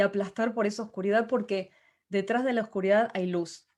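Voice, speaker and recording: The background is completely silent in a very clean recording. A woman talks with a fairly high voice. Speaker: motivational speaker. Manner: halting.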